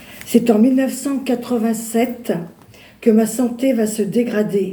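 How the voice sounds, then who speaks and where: Spoken at a very slow pace in a monotone, flat delivery, the voice carries audible room echo. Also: woman, fairly high pitch for a woman. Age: 60s. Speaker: churchgoer giving testimony. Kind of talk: testimony. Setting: church. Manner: halting.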